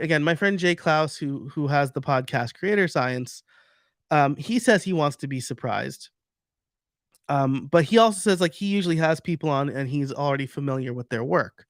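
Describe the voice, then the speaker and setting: Fairly high-pitched male voice with a slight New York accent, lively intonation and a moderate pace, in a dry, close sound with no echo. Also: very clean recording, silent background. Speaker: podcaster and podcasting coach. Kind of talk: live stream presentation with Q&A. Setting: live stream. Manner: casual, many fillers and restarts.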